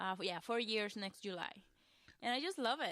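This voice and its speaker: A woman speaks in a strong Costa Rican accent. Her voice sits at a medium pitch with ordinary pitch variation. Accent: thick Costa Rican Spanish. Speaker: web designer and social media coach. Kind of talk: podcast interview.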